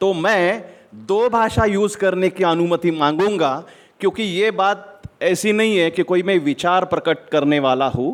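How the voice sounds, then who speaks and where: A man speaks with a Marathi accent and a high pitch. His pitch varies in an ordinary way. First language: Marathi (speaking Hindi). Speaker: lawyer. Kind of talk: speech at an event.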